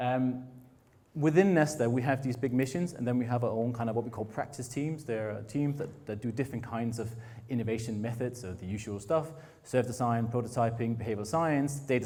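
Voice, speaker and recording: A man with a slight northern Danish accent speaks at a medium pitch with ordinary pitch variation. His tone is dark and mellow, with audible room echo. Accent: hint of a northern Danish drawl. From Denmark, Frederikshavn (north Jutland). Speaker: innovation foundation director. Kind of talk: conference talk. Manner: fast.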